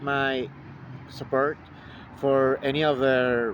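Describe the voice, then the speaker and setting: With a Mexican accent, a man speaks at a fairly high pitch. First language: Spanish. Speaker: vlogger. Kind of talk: personal statement to camera. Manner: halting, many fillers.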